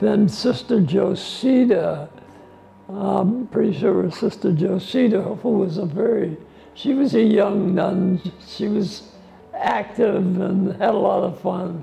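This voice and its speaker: A man speaks at a very slow pace in a high pitch, with noticeable background noise around him. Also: ordinary pitch variation. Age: 80s+. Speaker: school alumnus. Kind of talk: oral history interview. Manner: halting.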